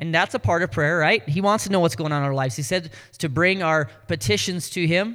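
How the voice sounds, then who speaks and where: This man's pitch sits fairly high. He speaks at a fairly quick pace with ordinary pitch variation. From North Dakota. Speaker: pastor. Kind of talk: sermon.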